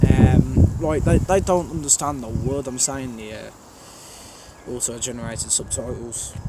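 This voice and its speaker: With a strong Birmingham accent, a man speaks at a moderate pace with lively intonation over noticeable background noise. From Birmingham, England. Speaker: train spotter YouTuber. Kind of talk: casual Q&A monologue. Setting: outdoors at a railway station.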